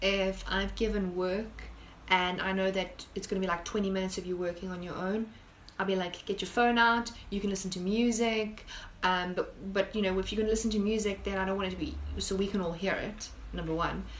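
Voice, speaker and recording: A woman speaks at medium pitch and a fairly quick pace in a monotone, flat intonation, with audible room echo and noticeable background noise. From South Africa. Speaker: high school biology teacher. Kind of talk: casual live-stream Q&A. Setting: live stream. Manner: chatty, conversational.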